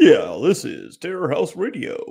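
It unfolds at a fairly slow pace. The voice is a put-on character voice. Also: man. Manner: attempted radio voice.

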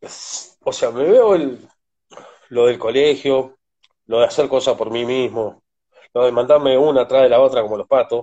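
This man's voice sits at a medium pitch, with fairly even intonation. He keeps a moderate pace and leaves long, frequent pauses. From Argentina, Córdoba province. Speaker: father and partner of a foundation founder. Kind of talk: interview, personal testimony.

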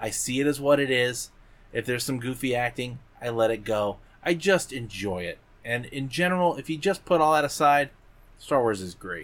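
Lively intonation marks a plain, everyday voice moving at a moderate pace. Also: man, medium pitch for a man. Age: 40s. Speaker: podcast co-host. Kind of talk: casual chat.

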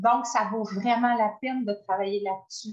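A woman speaks with a Quebec accent. She goes at a fairly slow pace. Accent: Québécois French. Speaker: voice coach. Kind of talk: casual interview chat. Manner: animated.

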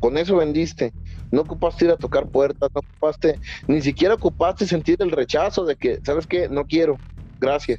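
A man's fairly high voice at a fairly quick pace, with very even loudness, ordinary pitch variation, and music in the background. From Mexico. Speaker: podcast co-host. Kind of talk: casual chat.

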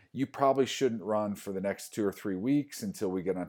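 This man has an ordinary speaking voice and an American accent, pitched fairly low. His intonation is lively. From US Midwest (Iowa). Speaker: sports rehab coordinator. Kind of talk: casual interview.

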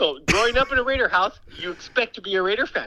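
With an American accent, a man projects a raised voice at an extremely high pitch and a moderate pace. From Los Angeles. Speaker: friend called on the phone. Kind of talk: heated banter. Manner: animated.

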